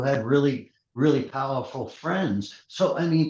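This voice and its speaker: Speaking with a New York accent at a fairly slow pace, a man uses a somewhat breathy, fairly high-pitched voice with ordinary pitch variation. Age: 60s. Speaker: MMA matchmaker. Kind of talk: interview. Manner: blunt, halting with repetitions.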